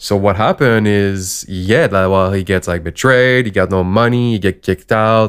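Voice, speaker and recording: With a non-native accent, the speaker talks at a fairly slow pace with ordinary pitch variation on a very clean recording with a silent background. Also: man. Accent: foreign-accented English. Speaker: podcast co-host. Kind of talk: casual chat.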